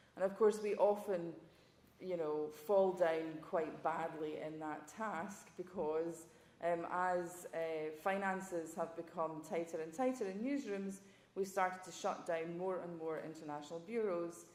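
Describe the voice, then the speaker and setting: In a Scottish accent, a woman with a fairly low voice speaks fairly slowly. Her intonation is fairly even, and the room echo is audible. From Scotland. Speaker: journalism professor, former foreign correspondent. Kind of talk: panel talk.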